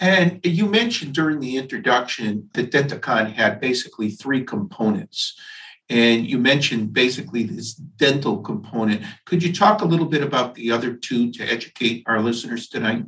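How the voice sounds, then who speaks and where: A man talks at medium pitch and a moderate pace in an ordinary speaking voice. His intonation is lively. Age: 60s. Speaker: dentist and podcast host. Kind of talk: interview.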